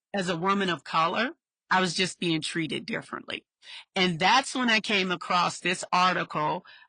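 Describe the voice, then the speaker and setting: Loud and bright with a sharp tone, a woman speaks at medium pitch with ordinary pitch variation against a quiet background. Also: moderate pace, dry, close sound with no echo. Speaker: podcast host, social worker. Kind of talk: interview podcast conversation. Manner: naturally loud.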